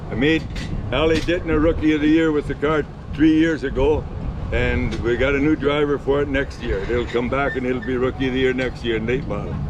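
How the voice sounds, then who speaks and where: A man with an Ontario accent at a fairly high pitch and fairly quick pace, fairly even intonation, noticeable background noise and audible room echo. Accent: Canadian (Ontario). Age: 80s+. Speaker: retired race car driver. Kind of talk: casual interview.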